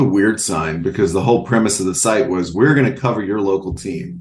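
This man has an unremarkable speaking voice with an American accent. His pitch is fairly low, with ordinary pitch variation. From North Texas. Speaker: sports media writer. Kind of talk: casual chat. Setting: podcast.

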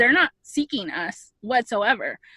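Her pitch high and her tone bright and sharp, a woman talks at a fairly slow pace with lively intonation. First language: Spanish. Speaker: podcast guest. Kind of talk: casual chat.

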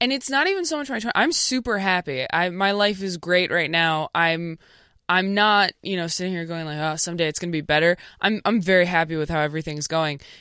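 Over a very clean recording with a silent background, a woman with a Midwestern accent speaks at a fairly quick pace, her fairly low pitch and bright, sharp tone showing ordinary pitch variation. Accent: Midwestern-sounding American. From California. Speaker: stand-up comedian. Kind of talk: casual interview.

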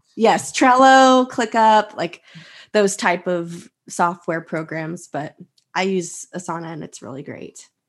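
Over a quiet background, a woman with a Texan accent speaks very slowly with lively intonation and big swings in loudness. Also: medium pitch for a woman. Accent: Texan American English. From Texas. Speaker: teacher and online resource seller. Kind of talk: interview.

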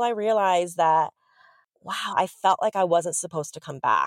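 A woman talks in an American accent. The recording is very clean, with a silent background and a dry, close sound with no echo. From Los Angeles, California. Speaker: digital strategist and podcaster. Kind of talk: casual interview.

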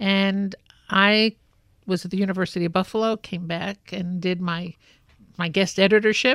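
Long, frequent pauses break up the speech in a very clean recording with a silent background and a dry, close sound with no echo. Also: woman, medium pitch for a woman, fairly even intonation, moderate pace. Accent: New York. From New York City (Brooklyn). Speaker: fashion industry consultant. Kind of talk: interview.

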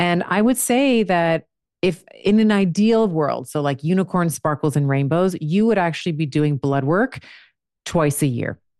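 At a moderate pace and fairly low pitch, a woman with an unremarkable speaking voice talks with lively intonation and very even loudness over a quiet background. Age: 40s. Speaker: doctor and women's health author. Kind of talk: casual interview. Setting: remote recording.

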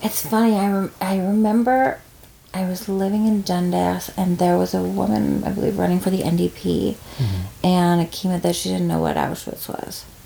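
With noticeable background noise behind her, a woman keeps a moderate pace. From Newfoundland, Corner Brook. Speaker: screenwriter and film director. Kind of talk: casual chat. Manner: halting.

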